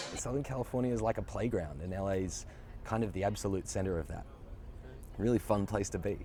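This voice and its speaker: A man's fairly low, dark, mellow voice with vocal fry and an Australian accent, ordinary pitch variation, a very fast pace, and long, frequent pauses. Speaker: actor. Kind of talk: interview.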